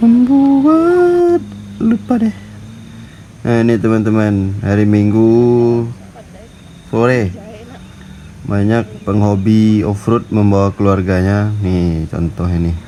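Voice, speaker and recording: A man talks at a very slow pace with long, frequent pauses over noticeable background noise. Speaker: travel vlogger. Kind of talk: casual travel vlog narration. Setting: outdoors.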